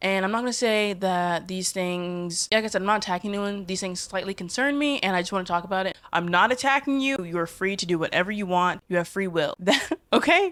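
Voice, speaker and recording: Animated in tone, a woman at medium pitch talks at a fairly quick pace with hardly any pauses and ordinary pitch variation. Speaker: book video creator. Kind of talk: casual vlog commentary. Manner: fast.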